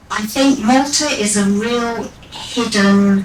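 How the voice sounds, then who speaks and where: A woman's fairly high voice with fairly even intonation, audible room echo and noticeable background noise. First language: Maltese as a small child. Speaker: radio presenter. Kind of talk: interview talk at live event.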